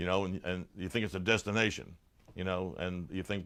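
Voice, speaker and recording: With an American accent, a man talks at a fairly quick pace in a very deep, low pitch. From New Jersey. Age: 60s. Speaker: blues musician. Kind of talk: casual interview. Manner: halting.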